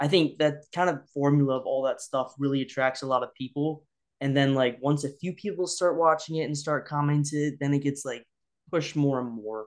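A man with an American accent and a plain, everyday voice talks at a fairly quick pace, his fairly high pitch held in fairly even intonation. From US Midwest. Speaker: YouTuber. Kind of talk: casual chat.

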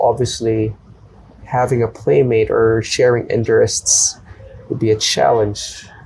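Noticeable background noise runs behind a man who talks at a fairly slow pace. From Philippines, Manila. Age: 30s. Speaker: Brazilian jiu-jitsu brown belt competitor. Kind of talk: casual interview.

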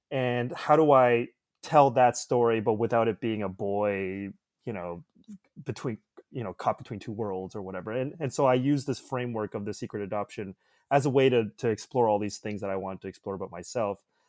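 Recorded very cleanly against a silent background with a dry, close sound and no echo, a man with a Canadian accent uses a normal speaking voice at medium pitch, with ordinary pitch variation, a fairly quick pace and big swings in loudness. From suburbs of Toronto, Canada. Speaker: filmmaker. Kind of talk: casual chat.

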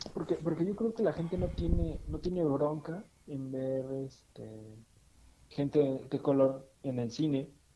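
At a fairly slow pace, a man talks with lively intonation and a fairly high pitch. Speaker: podcast co-host. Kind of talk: casual chat. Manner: halting, many fillers and repetitions.

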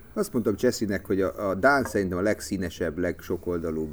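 A man speaks at a fairly quick pace. His pitch is very deep and low. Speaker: TV sports journalist. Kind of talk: casual chat.

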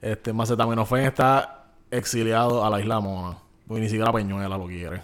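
Talking fairly quickly, a man uses a medium pitch. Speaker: podcast co-host. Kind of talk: casual chat. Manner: animated.

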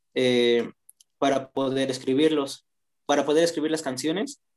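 This man's voice holds fairly even intonation. It sits at a medium pitch. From Mexico, Toluca. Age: young. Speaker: rapper and sociology student. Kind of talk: casual interview. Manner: halting, many fillers.

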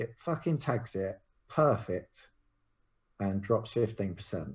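A man with a London accent speaks at a fairly slow pace and a medium pitch, his somewhat breathy voice making very wide pitch swings. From South London. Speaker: crypto trader and property developer. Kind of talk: casual interview about trading charts.

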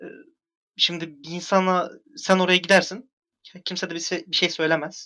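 The tone is bright and sharp, and the pace is moderate. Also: man. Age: 20s. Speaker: forum moderator. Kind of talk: casual chat.

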